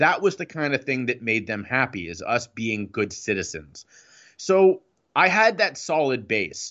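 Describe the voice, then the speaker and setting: Here a man with an American accent speaks at medium pitch, his voice showing vocal fry. His pitch swings very widely, and his pace is fairly slow. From Ohio, US. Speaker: recovery speaker and coach. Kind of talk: interview. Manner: halting.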